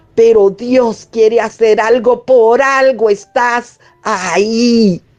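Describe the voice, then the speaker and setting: Over music in the background, a woman with a fairly high voice speaks at a very slow pace. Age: 60s. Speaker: radio host. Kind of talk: testimony.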